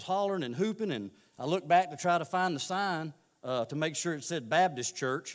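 At a fairly quick pace, a man talks with lively intonation and a fairly high pitch. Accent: Southern US. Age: 40s. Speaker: lay preacher. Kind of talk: sermon. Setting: church. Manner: halting.

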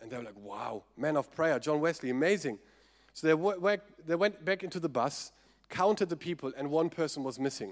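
Speaking fairly quickly with a German accent, a man uses a fairly high pitch. His volume rises and falls sharply. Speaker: pastor. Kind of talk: sermon. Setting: church.

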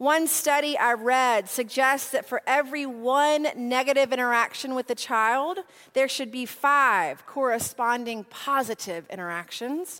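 On a very clean recording with a silent background, a woman speaks at a high pitch in a bright, sharp tone, with ordinary pitch variation, at a fairly slow pace and with hardly any pauses. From US South, Nashville. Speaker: preacher. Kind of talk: sermon.

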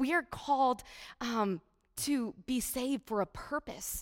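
Speaking with a Midwestern American accent, a woman talks at a fairly slow pace and high pitch. The recording is very clean, its background silent. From US Midwest, Iowa. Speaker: charity speaker. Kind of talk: church talk.

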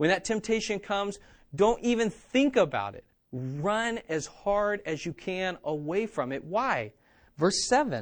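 This man's high-pitched voice has an animated tone and lively intonation, moving at a fairly slow pace with big swings in loudness. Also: very clean recording, silent background. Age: 30s. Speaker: pastor. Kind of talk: sermon.

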